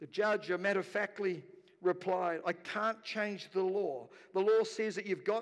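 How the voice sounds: The intonation stays fairly even throughout this natural reading voice.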